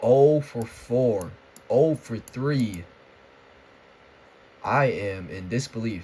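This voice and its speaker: A man with a dark, mellow tone and medium pitch speaks somewhat breathily at a very slow pace, with long, frequent pauses and big swings in loudness. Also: ordinary pitch variation. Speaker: sports vlogger. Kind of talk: casual rant. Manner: halting, stuttering.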